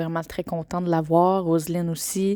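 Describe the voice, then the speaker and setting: Speaking in a Quebec accent, a woman uses a dark, mellow tone at a fairly low pitch, with fairly even intonation and a moderate pace. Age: 20s. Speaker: podcaster. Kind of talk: personal testimony. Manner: hesitant with many fillers.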